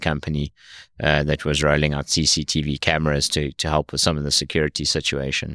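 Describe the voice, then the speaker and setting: Very deep and low, a man's voice with a South African accent moves at a fairly quick pace in a very clean recording with a silent background and a dry, close sound with no echo. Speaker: tech company founder. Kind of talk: interview. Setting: studio.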